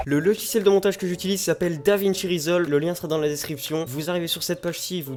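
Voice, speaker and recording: This is a man with a high voice. His pitch varies in an ordinary way. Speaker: YouTuber teaching video editing. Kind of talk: tutorial. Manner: casual, slangy; halting, with fillers.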